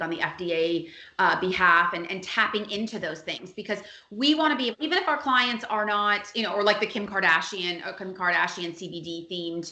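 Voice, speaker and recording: With an American accent, a woman speaks at a very fast pace in a room with audible echo. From Miami, Florida. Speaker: PR agency founder. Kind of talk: podcast interview.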